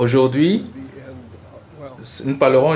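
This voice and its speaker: A man's medium-pitched voice with fairly even intonation and audible room echo. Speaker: preacher teaching a seminar. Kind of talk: teaching sermon. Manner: hesitant, many filler sounds.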